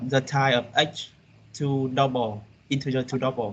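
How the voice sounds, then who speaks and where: With a Vietnamese accent, a man speaks fairly slowly in a monotone, flat intonation. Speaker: university student. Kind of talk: classroom answer. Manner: halting.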